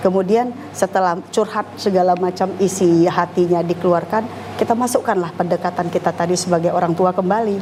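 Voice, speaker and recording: Noticeable background noise sits behind a woman talking at a fairly quick pace and medium pitch. Her intonation is monotone and flat, and her loudness stays very even. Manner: firm, somewhat harsh.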